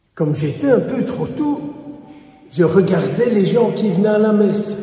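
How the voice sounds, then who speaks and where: With audible room echo, a man in a Walloon accent speaks at a high pitch and a fairly slow pace, his intonation lively. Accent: Belgian French, Walloon. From Wallonia, Belgium. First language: Walloon (speaking French). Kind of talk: sermon.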